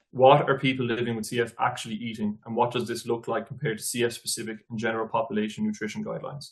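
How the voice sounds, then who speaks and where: A man with an Irish accent, medium in pitch, at a very fast pace. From Ireland. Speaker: nutrition researcher. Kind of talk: academic presentation. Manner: formal.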